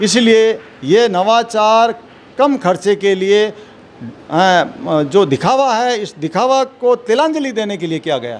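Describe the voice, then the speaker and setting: A man talks with lively intonation. His voice is high-pitched. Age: 60s. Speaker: retired civil servant. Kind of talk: interview.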